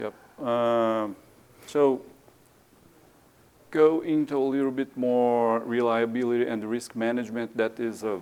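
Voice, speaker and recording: With a Portuguese accent, a man speaks at medium pitch and a fairly slow pace, his intonation fairly even and broken by long, frequent pauses. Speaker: maintenance engineer. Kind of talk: conference presentation. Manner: halting, many fillers.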